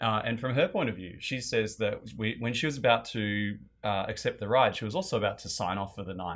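A fairly quick pace with ordinary pitch variation. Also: man, medium pitch for a man, very clean recording, silent background. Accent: Australian. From Australia. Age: 30s. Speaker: guest. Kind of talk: casual chat.

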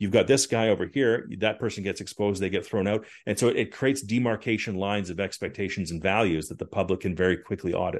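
With a western Canadian accent, a man talks at a very fast pace and a fairly low pitch. His pitch variation is ordinary, against a quiet background. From Canada. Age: 40s. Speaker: former politician. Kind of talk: casual interview.

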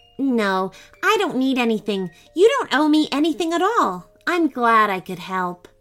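Over faint music in the background, a woman in a put-on character voice speaks fairly slowly, high in pitch with big pitch swings and a fairly bright tone.

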